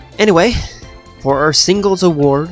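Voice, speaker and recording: A man's speech, set against background music, keeps a moderate pace and ordinary pitch variation. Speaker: video game league commentator. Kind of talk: casual season review and award show narration. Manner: casual, joking.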